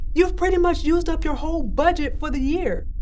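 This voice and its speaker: A squeaky, put-on character voice talks at a fairly quick pace over clear background noise. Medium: short film. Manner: blunt, scolding.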